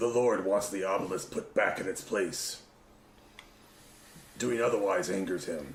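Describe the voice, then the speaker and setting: In a raspy, put-on character voice, the speaker goes at a moderate pace with long, frequent pauses. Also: man, fairly low pitch for a man. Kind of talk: mock-oracular pronouncement. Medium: actual play. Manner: formal, pompous.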